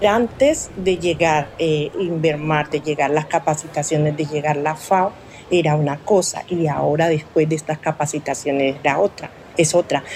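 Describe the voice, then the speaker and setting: Noticeable background noise sits behind this woman. Her voice is very deep and low, with fairly even intonation. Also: moderate pace. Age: 50s. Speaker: fish vendor and processor. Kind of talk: interview testimony. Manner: hesitant, with fillers.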